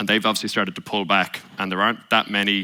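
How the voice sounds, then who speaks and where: The very fast delivery has a bright, sharp tone and a flat, monotone intonation, captured in a very clean recording with a silent background. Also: man. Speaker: venture investor. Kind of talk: panel discussion.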